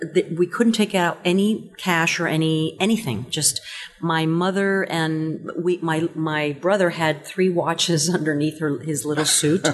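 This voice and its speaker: Noticeable background noise sits behind a woman with a fairly low voice. She speaks at a fairly slow pace with ordinary pitch variation. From Cuba. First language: Spanish. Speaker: stage and screen actress. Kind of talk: casual interview.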